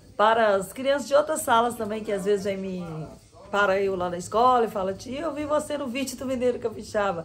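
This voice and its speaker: Speaking at a fairly quick pace, a woman uses lively intonation at a medium pitch. Light background noise can be heard. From Espírito Santo, Brazil, near the Minas Gerais border. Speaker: schoolteacher. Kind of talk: casual family chat. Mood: cheerful, warm. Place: home room. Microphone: phone near.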